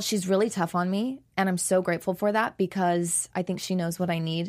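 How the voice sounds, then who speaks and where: A normal speaking voice with fairly even intonation. The recording is very clean, with a silent background. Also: woman. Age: 20s. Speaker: professional dancer and choreographer. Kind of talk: interview. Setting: studio.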